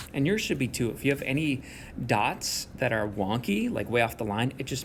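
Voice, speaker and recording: A somewhat breathy male voice moves with ordinary pitch variation. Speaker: math teacher. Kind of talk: recorded video lesson. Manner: fast; casual, encouraging.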